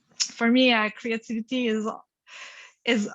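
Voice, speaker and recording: With a French accent, a woman speaks in a bright, sharp tone at a high pitch, with monotone, flat intonation and a quiet background. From Quebec, Montreal. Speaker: panel speaker, creative workshop leader. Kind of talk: panel conversation. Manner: halting.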